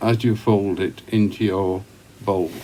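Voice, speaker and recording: Very slowly, a man speaks in a Yorkshire accent with a dark, mellow tone. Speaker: pipe smoker. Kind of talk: casual talk to camera. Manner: relaxed, conversational.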